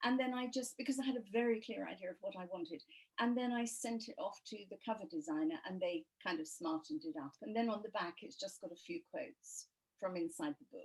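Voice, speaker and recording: A somewhat breathy woman in an English accent, fairly high in pitch, with very wide pitch swings, big swings in loudness and a fairly quick pace. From England. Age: 70s. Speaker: author. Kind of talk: interview.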